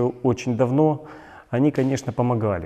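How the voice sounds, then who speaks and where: Against a quiet background, a man speaks at a medium pitch and a moderate pace. His tone is dark and mellow, with ordinary pitch variation. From Donetsk, eastern Ukraine. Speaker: displaced person activist. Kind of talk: video blog monologue. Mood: serious, earnest. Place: studio.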